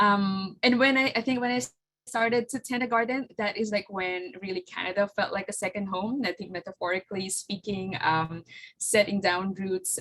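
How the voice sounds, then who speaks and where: A woman speaks at a medium pitch with a Filipino accent. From Philippines. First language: Tagalog. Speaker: flower farmer and business owner. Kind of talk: presentation with slides. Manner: halting, many fillers.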